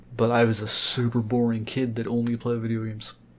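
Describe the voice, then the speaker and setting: Someone talks at a very fast pace with monotone, flat intonation over noticeable background noise. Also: man. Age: 20s. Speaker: podcast guest. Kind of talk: casual chat.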